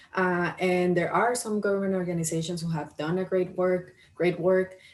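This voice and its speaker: In a Spanish accent, a woman talks at a moderate pace and a medium pitch. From Colombia. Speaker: county equity office worker, former journalist. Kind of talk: career talk to camera. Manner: hesitant, many fillers.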